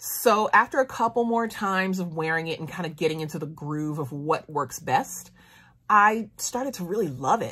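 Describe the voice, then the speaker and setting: A woman speaks with lively intonation and an animated tone. Her tone is bright and sharp against a quiet background. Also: moderate pace, big swings in loudness. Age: 30s. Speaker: beauty YouTuber. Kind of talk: product review monologue. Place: home room. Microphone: phone near.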